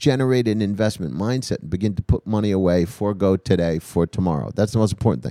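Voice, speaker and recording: Dry and close with no echo, a man's fairly low, dark, mellow voice races at a very fast pace with hardly any pauses. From New Jersey / New York area. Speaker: comedian. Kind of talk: casual chat.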